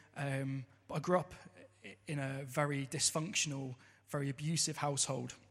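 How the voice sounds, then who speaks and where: On a very clean recording with a silent background, a man with a southern English accent speaks at a fairly high pitch and a moderate pace with fairly even intonation. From Southampton, southern England. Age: 30s. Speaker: church member. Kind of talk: testimony. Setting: church service. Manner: partly read from notes.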